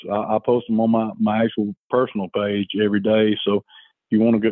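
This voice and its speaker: A man with an Alabama accent talks at a fairly quick pace in a medium pitch, his intonation monotone and flat. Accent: Southern US (Alabama). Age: 30s. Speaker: fishing guide. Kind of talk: casual chat.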